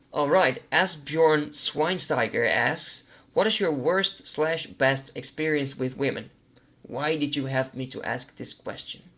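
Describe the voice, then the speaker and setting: With a Dutch accent, a man speaks at a fairly slow pace in a fairly high voice with fairly even intonation. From Netherlands. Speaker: gaming YouTuber. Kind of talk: casual Q&A monologue. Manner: hesitant, many fillers.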